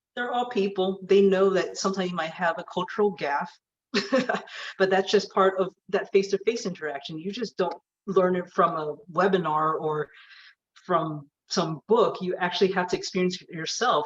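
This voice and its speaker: Her loudness swings in big jumps as a woman speaks at a moderate pace. Her pitch is medium, with ordinary variation. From California. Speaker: aerospace engineer. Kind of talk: talk with Q&A.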